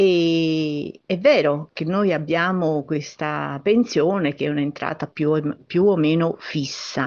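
With a very deep, low voice and fairly even intonation, a woman speaks very slowly yet with hardly any pauses. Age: 70s. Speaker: pensioner leaving voice message. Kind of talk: recorded voice message.

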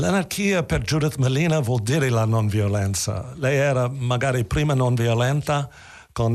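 A man with an English accent at medium pitch, against a quiet background. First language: English (speaking Italian). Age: 70s. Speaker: theatre actor. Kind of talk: interview.

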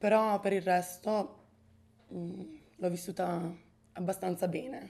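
A woman's medium-pitched voice with a dark, mellow tone, fairly even intonation, a very slow pace and long, frequent pauses. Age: 20s. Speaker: university student. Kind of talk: interview. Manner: halting.

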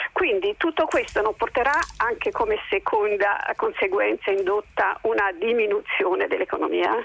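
A woman speaks at a moderate pace with very even loudness and hardly any pauses, recorded dry and close with no echo over noticeable background noise. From Lombardy, Monza area. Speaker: caller. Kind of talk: radio call-in. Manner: hesitant, many fillers.

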